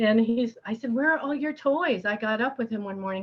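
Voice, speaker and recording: The voice carries an American accent and moves at a moderate pace. Its pitch swings very widely. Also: woman. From US Northeast, upstate New York. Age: 60s. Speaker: amateur painter, workshop participant. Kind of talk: casual chat.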